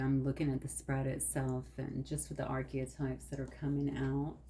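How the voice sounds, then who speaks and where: A woman speaks in a soft-spoken manner. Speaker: tarot card reader. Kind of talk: tarot reading.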